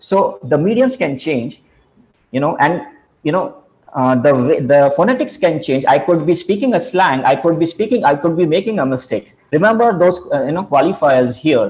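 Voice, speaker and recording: The speaker has an Indian accent and talks at a moderate pace. The pitch swings very widely. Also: man, high pitch for a man. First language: Hindi. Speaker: communication trainer. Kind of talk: lecture. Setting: video call. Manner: halting.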